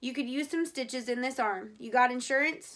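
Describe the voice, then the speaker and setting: Doing a put-on character voice, a woman talks fairly quickly in a high, raspy pitch with ordinary pitch variation. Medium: read story. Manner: firm, plainspoken.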